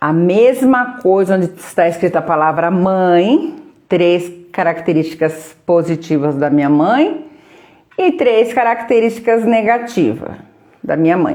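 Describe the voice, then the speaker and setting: The voice has a dark, mellow tone and very wide pitch swings. Its loudness stays very even at a fairly slow pace. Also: woman, medium pitch for a woman. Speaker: therapist running a live workshop. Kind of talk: live stream guided exercise. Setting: live stream. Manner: animated.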